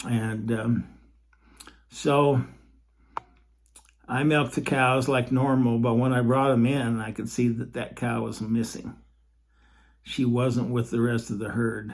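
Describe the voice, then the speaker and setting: With long, frequent pauses and a fairly slow pace, a man speaks at a medium pitch in a monotone, flat intonation. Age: 70s. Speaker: podcaster telling personal faith stories. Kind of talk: personal storytelling monologue. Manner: halting, many fillers and repeats.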